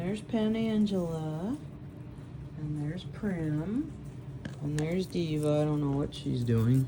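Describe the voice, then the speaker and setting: A woman speaks at a very deep, low pitch, leaving long, frequent pauses. Audible room echo and noticeable background noise surround her voice. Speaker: teacher and guinea pig keeper. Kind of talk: casual vlog narration. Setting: indoors, pet room at midnight. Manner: hesitant, many fillers.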